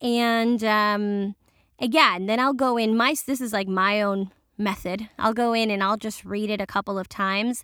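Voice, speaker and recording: A woman's bright, sharp voice, fairly high in pitch, at a moderate pace with fairly even intonation, in a very clean recording with a silent background. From New York City. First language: Spanish. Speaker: bilingual voice actor. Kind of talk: casual interview chat.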